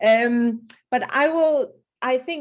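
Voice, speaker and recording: A woman with a non-native accent and ordinary pitch variation. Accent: non-South African foreign. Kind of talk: webinar presentation. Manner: halting, repetitive.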